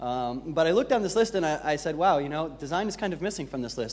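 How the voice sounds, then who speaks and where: A man speaks at a very fast pace with a fairly high pitch. Audible room echo fills the recording. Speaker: conference speaker, designer and developer. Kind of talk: conference talk. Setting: stage with audience. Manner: hesitant, many fillers.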